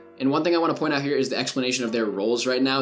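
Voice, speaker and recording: Against noticeable background noise, a man talks at medium pitch with ordinary pitch variation. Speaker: gaming YouTuber, esports analyst. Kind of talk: gameplay VOD review commentary. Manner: fast.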